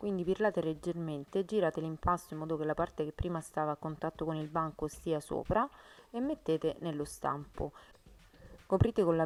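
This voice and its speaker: A woman with a very deep, low pitch speaks at a fairly quick pace with ordinary pitch variation. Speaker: home cooking youtuber. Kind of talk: cooking tutorial. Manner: fast.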